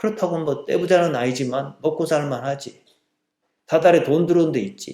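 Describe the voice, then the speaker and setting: Delivered at a moderate pace, the voice has a dark, mellow tone and ordinary pitch variation. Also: man. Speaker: pastor, preacher. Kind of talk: sermon.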